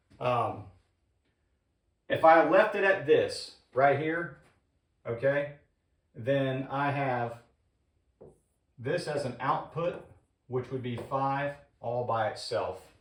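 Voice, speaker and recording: Against audible room echo, a man speaks somewhat breathily at a fairly high pitch and a very slow pace, with long, frequent pauses. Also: ordinary pitch variation. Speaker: HVAC instructor. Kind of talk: tutorial.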